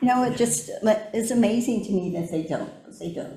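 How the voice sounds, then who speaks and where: With an American accent, a woman speaks at a medium pitch. Her intonation is lively, and room echo is audible. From US, Japanese American community. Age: 70s. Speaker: community speaker on civic engagement. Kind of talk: personal talk / testimony.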